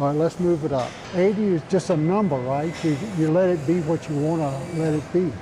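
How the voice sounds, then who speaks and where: Noticeable background noise sits behind a man with a fairly high pitch. He talks at a fairly quick pace with fairly even intonation. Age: 80s+. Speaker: personal trainer. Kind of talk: coaching a client at the gym. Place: gym. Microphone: lapel.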